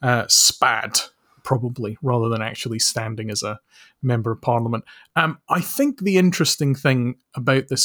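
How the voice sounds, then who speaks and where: A man speaks in a Scottish accent. The sound is dry and close with no echo, a very clean recording with a silent background. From Scotland. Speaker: author and social researcher. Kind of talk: casual chat.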